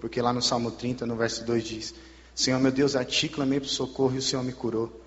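Amid noticeable background noise, a man speaks in a monotone, flat delivery at medium pitch and a moderate pace. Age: 20s. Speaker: missionary, former drug user. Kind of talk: testimony. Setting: church service.

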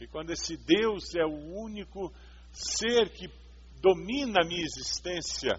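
A man speaks at a fairly slow pace. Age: 50s. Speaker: pastor. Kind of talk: sermon.

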